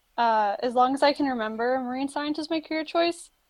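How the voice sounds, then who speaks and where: Speaking with an American accent, the speaker shows ordinary pitch variation. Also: woman. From Florida. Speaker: marine science student. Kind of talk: casual chat.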